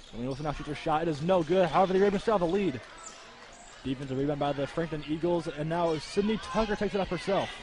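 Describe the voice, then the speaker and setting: Over noticeable background noise, a man talks very fast in an animated tone at a high pitch with ordinary pitch variation. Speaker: sports commentator. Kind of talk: live commentary.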